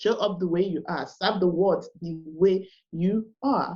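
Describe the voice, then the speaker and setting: A woman speaks very slowly at a medium pitch. Her tone is dark and mellow, and somewhat breathy. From Nigeria (Igbo). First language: Igbo. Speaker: live video coach and business owner. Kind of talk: podcast interview. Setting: podcast recording. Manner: animated.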